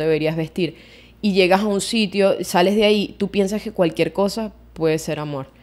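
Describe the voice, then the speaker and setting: A woman talks with a Venezuelan accent. Her pace is moderate and her intonation fairly even. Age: 20s. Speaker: podcast co-host. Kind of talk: casual chat. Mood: reflective, personal. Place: home room. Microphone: studio mic.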